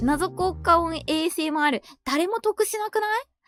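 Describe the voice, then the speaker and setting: Music playing behind a woman's moderately paced speech. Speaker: virtual YouTuber. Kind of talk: casual talk to camera.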